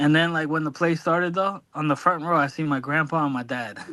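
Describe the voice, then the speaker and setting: This man's bright, sharp tone sits fairly high in pitch, moving at a fairly quick pace with ordinary pitch variation. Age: 40s. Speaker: podcast co-host. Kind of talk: casual interview chat. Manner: halting, many fillers.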